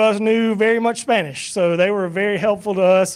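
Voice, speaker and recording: Fairly even intonation from a man's high voice, moving at a moderate tempo. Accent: Southern US. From US South. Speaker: church minister leading a mission trip report. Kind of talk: mission trip slideshow presentation to church. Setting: church evening service. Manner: casual, halting with many fillers.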